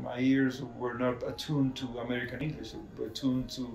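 A man talks at a moderate pace. Room echo is audible, with faint music in the background. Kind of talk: interview answer. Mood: calm reflective. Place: home room.

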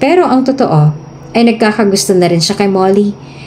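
Reading done in an unforced voice

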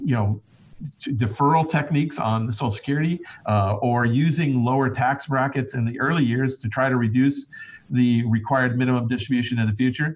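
At a fairly quick pace, a man with a somewhat breathy voice speaks at a medium pitch with ordinary pitch variation. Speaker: financial advisor. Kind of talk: casual chat.

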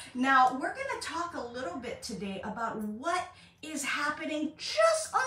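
A woman's voice with audible room echo. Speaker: spiritual coach. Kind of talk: casual vlog chat. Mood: warm, empathetic. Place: home room. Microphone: phone near.

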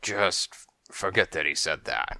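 A man's put-on character voice, gravelly and raspy with a bright, sharp tone, at a fairly slow pace.

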